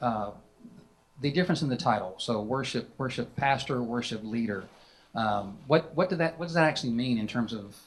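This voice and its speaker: A man talks with a Southern US accent at a medium pitch. His intonation is lively, and the background is quiet. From South Carolina. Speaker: moderator of a worship panel. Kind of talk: panel moderation at a conference.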